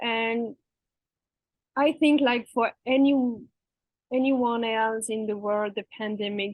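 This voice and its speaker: A woman with a French accent at a very slow pace, with fairly even intonation. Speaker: interview guest, expat and coach. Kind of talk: interview.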